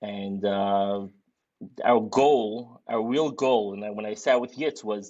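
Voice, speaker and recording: A man with a strong Brooklyn accent, medium pitch and ordinary pitch variation. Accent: thick Brooklyn. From Brooklyn, New York (Borough Park). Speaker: sports league organizer, podcast co-host. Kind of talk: casual podcast chat. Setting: live podcast.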